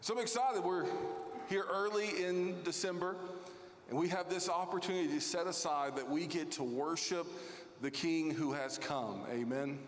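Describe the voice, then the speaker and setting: Through noticeable background noise, a man speaks at a moderate pace in a high pitch, with lively intonation and very even loudness. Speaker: lead pastor. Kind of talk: welcome and housekeeping announcements. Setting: church. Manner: friendly, formal.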